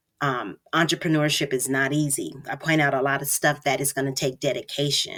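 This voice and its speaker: Her voice sits very deep and low. She speaks at a moderate pace. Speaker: podcast host and business mentor. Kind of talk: solo podcast monologue. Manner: casual, unscripted with fillers.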